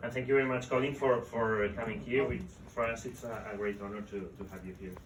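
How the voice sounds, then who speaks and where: A very fast-talking man with a Spanish accent and medium pitch, fairly even intonation, big swings in loudness, audible room echo and noticeable background noise. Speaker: book author. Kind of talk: book presentation talk. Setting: live event with audience. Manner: halting, repeating words.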